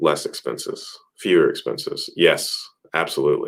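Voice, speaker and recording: This man's speech unfolds at a moderate pace. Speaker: real estate investing youtuber. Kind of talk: live stream Q&A. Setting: live stream. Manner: monotone.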